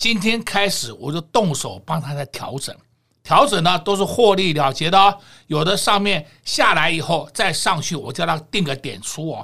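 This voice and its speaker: A man's high-pitched voice, bright and sharp in tone, animated, with lively intonation at a moderate pace. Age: 60s. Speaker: stock market analyst. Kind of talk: market commentary chat.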